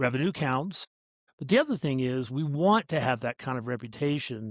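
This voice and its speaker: In a very clean, dry and close recording with a silent background and no echo, a man speaks in a normal speaking voice at a fairly high pitch and moderate pace, his intonation lively. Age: 60s. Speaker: startup CEO. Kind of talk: podcast interview. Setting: call.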